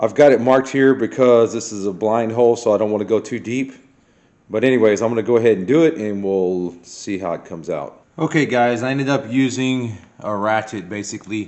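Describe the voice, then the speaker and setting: With a plain, everyday voice, a man at a medium pitch speaks at a fairly quick pace, his pitch varying in an ordinary way. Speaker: car restoration youtuber. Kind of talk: tutorial. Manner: casual.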